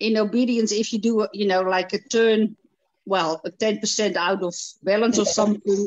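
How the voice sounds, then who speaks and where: A woman with an unremarkable speaking voice talks at a moderate pace, fairly high in pitch with fairly even intonation, over a quiet background. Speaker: dog obedience competitor; dog trainer in group. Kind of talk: casual chat. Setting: video call. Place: home room. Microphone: video call.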